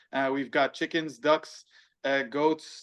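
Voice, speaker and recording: With an American accent, a man talks at a moderate pace in a fairly high pitch, keeping his intonation fairly even. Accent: American-sounding. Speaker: businessman and barbecue chef. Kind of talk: casual chat.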